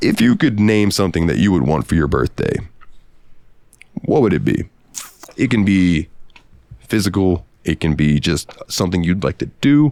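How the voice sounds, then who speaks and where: Amid noticeable background noise, a man with a very deep, low pitch speaks at a moderate pace with long, frequent pauses. His pitch swings very widely while his loudness stays very even. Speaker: podcast co-host. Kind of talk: casual chat. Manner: animated.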